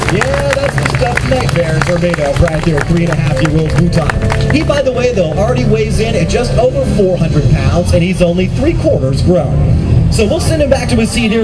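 The speech runs at a moderate pace with hardly any pauses. Music plays clearly in the background. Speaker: show announcer. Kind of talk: live show commentary. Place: stadium.

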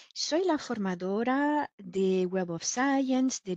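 Against a quiet background, a woman talks with lively intonation in a dry recording with no echo. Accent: French. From France. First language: French (speaking Spanish). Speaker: software trainer; trainer. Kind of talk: online training lecture; lecture. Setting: online webinar. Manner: frequent filler hesitations.

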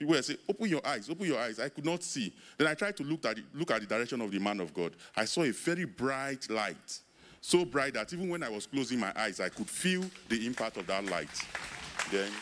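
Moving at a fairly quick pace, a man with a medium pitch uses very wide pitch swings. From Nigeria, Bayelsa State. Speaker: church testimony giver. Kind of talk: testimony. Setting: church service. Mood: earnest, grateful. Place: open country. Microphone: handheld.

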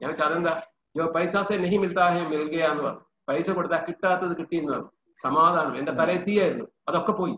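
The man's voice sits high in pitch, with fairly even intonation. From Kerala, Vadakara (Kozhikode). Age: 60s. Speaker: businessman, course participant. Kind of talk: interview testimony. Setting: remote call, partly audio only.

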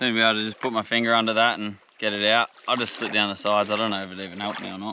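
A man talks at a very fast pace in a fairly low pitch, with flat, monotone intonation, a dry sound with no echo and light background noise. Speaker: outdoor vlogger. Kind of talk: casual vlog chat. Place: beach. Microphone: camera far.

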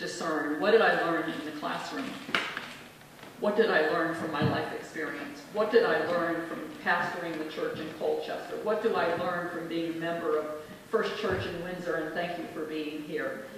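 In a room with strong echo and light background noise, a woman speaks at a moderate pace and fairly low pitch with ordinary pitch variation. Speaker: minister. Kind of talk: acceptance speech. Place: hall.

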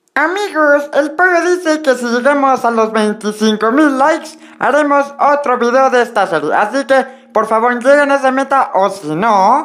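A female-sounding voice, high-pitched for a woman, puts on a cartoonish character voice. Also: moderate pace. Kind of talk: youtube sign-off. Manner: cheerful outro host, then panicked.

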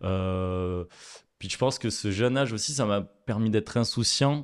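A man talks at a moderate pace with a fairly low pitch and ordinary pitch variation. The background is quiet. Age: 20s. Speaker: chef; guest. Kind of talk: interview. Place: studio. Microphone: studio mic.

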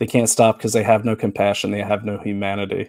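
The background here is quiet. A man rushes along at a very fast pace. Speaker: political commentator host. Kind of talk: angry political rant, live monologue. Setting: live webcast. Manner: impassioned, fiery, indignant; unscripted, speaking from the heart. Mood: earnest, critical, animated. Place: home room. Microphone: headset.

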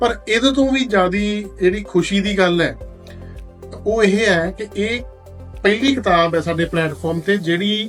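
This man's voice sits high, with ordinary pitch variation. Music plays in the background. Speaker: audiobook platform host. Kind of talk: promotional talk to camera.

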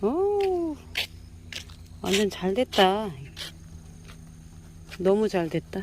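At a very slow pace, a woman speaks with lively intonation and long, frequent pauses. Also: medium pitch for a woman. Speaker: actor. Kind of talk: casual talk while filming.

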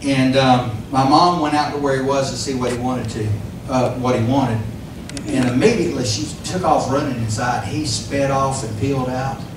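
Over noticeable background noise and audible room echo, a man talks at a moderate pace and a medium pitch. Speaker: pastor. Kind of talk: sermon. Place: church.

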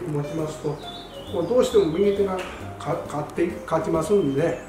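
A man with lively intonation speaks at a moderate pace, with audible room echo and noticeable background noise. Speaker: amateur golf instructor. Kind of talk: golf tips talk to camera. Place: gym.

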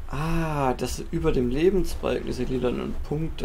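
A man talks at a fairly slow pace. Noticeable background noise and audible room echo surround him. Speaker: gaming YouTuber. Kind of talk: let's play commentary. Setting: home recording setup. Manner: casual, thinking aloud.

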